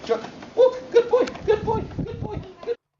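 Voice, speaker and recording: The pitch is extremely high and squeaky. It is a put-on character voice. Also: moderate pace. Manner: excited, encouraging.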